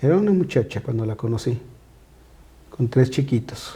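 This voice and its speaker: This voice has a dark, mellow tone, is somewhat breathy, and moves at a moderate pace with ordinary pitch variation. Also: man. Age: 60s. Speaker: pastor. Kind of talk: casual chat.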